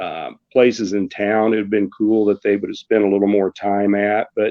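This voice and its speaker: Speaking at a moderate pace with an American accent, a man uses a plain, everyday voice pitched fairly low. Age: 60s. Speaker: radio sports announcer. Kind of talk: casual chat.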